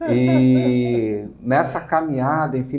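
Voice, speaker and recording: Speaking at a very slow pace with a Rio de Janeiro accent, a man has a dark, mellow tone, and audible room echo surrounds him. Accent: carioca (Rio de Janeiro). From Rio de Janeiro, Brazil. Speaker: entrepreneur, business owner. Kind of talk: interview. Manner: hesitant, many fillers.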